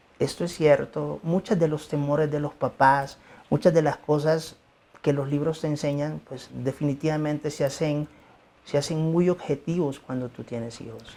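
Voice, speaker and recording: Speaking with a Mexican accent, a man has a fairly high voice with a dark, mellow tone, fairly even intonation and big swings in loudness. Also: moderate pace. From Mexico. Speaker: pediatric emergency doctor. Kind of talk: interview.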